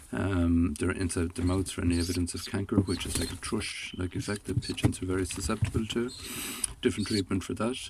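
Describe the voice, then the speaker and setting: A man with an Irish accent speaks at a fairly quick pace in a very deep, low voice with fairly even intonation. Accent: Irish (Galway). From Ireland, Galway. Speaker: pigeon and poultry keeper. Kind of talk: tutorial. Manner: hesitant, many fillers.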